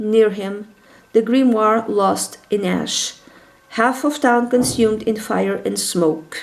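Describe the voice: Ordinary pitch variation is heard. The delivery is plain reading aloud.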